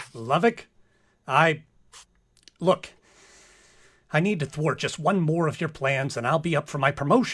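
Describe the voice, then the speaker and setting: A man's put-on character voice, fairly high in pitch, with ordinary pitch variation, a moderate pace and long, frequent pauses. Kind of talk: comedic radio play.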